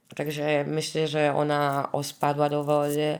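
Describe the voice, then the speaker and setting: A woman with a very deep, low voice at a very slow pace. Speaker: survivor's relative. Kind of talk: interview testimony. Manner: halting, searching for words.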